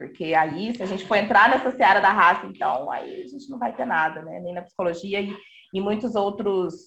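With an ordinary speaking voice, a woman talks at a medium pitch and ordinary pitch variation. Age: 30s. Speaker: professor. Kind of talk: panel discussion.

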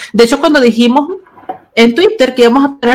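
A woman with a slight Chilean accent speaks over noticeable background noise. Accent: Chilean-tinged. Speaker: podcast host and writer. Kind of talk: casual chat. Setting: video call.

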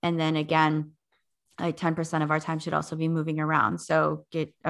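In an Upper Midwest accent, a woman talks at a moderate pace. Her fairly low voice has a bright, sharp tone over a quiet background. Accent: Upper Midwest American. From North Dakota. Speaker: fitness instructor and podcast producer. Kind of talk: casual interview chat.

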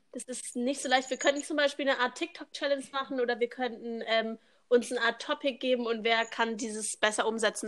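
Speaking at a moderate pace, a woman has a fairly high pitch, a bright, sharp tone and ordinary pitch variation. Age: young. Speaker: au pair, podcast co-host. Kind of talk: casual chat. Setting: video call, outdoors on terrace.

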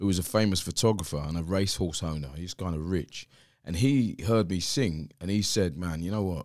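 With a South London accent and a very deep, low pitch, a man talks at a fairly quick pace with ordinary pitch variation in a very clean recording with a silent background. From South East London. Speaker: pastor and former musician. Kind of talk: interview conversation.

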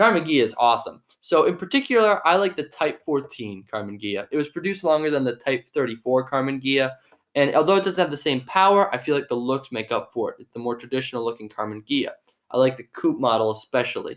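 This is a normal speaking voice moving at a fairly quick pace. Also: man, fairly high pitch for a man, lively intonation. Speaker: podcast co-host. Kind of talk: casual chat.

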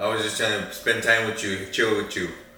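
A man moves at a fairly quick pace, with noticeable background noise audible throughout. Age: 20s. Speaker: host's brother. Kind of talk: casual chat.

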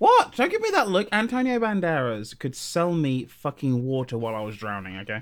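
A man with a southern English accent and a fairly high pitch, at a fairly quick pace with hardly any pauses and very wide pitch swings. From southern England. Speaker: podcast co-host and YouTuber. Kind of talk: casual chat.

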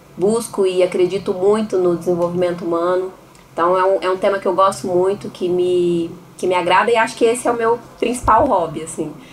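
A woman's medium-pitched voice with fairly even intonation over noticeable background noise. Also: fairly quick pace. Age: 30s. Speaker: podcast co-host. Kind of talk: casual chat.

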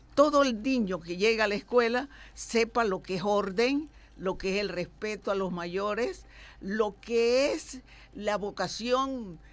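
A woman's fairly high voice at a very slow pace. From Panama. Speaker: lawyer. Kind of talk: radio interview.

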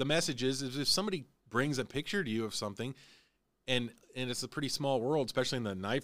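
A man with a fairly high pitch talks at a very fast pace, with ordinary pitch variation. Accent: American. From Illinois. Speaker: podcast host. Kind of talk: casual chat.

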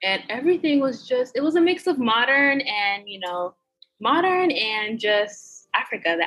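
Speaking at a moderate pace with an American accent, a woman sounds animated and bright, sharp in tone, her pitch swinging very widely. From United States, Haitian background. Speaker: travel blogger. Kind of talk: casual interview. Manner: animated, laughs often.

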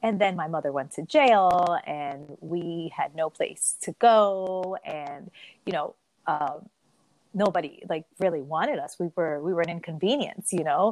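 A woman's fairly low voice, an ordinary speaking voice, at a fairly slow pace with ordinary pitch variation and a dry, close sound with no echo. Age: 40s. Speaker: kindergarten teacher and life coach. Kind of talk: casual chat.

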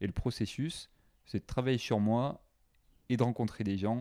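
A man speaks at a fairly quick pace with a southern French accent and a dark, mellow tone. The recording is very clean, with a silent background. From southwest France, Carcassonne. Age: 20s. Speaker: expatriate sharing dating life. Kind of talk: casual interview chat. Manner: calm, relaxed.

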